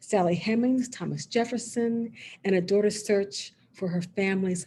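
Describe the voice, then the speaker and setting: Somewhat breathy and dark, mellow in tone, a woman at medium pitch speaks at a fairly slow pace with lively intonation. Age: 60s. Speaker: author. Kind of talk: author talk. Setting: video call.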